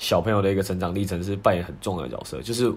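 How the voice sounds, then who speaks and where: A man at a very fast pace, fairly low in pitch. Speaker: podcast co-host. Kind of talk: casual chat.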